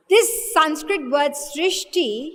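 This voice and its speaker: A woman with a high pitch speaks with lively intonation, and room echo is audible. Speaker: spiritual teacher. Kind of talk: lecture. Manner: slow.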